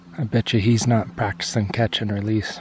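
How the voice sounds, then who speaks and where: Soft-spoken and relaxed in tone, a man with a fairly low pitch talks at a moderate pace with fairly even intonation. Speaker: fishing video host. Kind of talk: outdoor vlog narration. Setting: outdoors. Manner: casual, relaxed.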